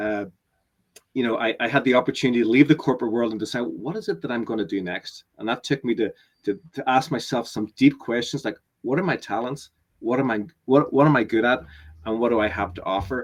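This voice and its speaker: Delivered at a very fast pace in a slight Northern Irish accent, the speech has ordinary pitch variation. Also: man, medium pitch for a man. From Northern Ireland. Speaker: business coach. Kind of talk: webinar interview. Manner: halting, many repetitions.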